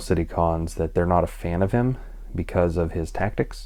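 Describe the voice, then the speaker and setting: This man speaks quietly with an American accent. His pitch is very deep and low. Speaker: comic book vlogger. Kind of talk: casual vlog monologue. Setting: at home at night. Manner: hesitant, many fillers.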